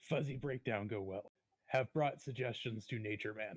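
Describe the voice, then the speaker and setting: Using a put-on character voice, a man sounds raspy at a medium pitch with ordinary pitch variation. He keeps a moderate pace, and the sound is dry and close with no echo. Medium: actual play. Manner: broken grammar, speaks of self in third person.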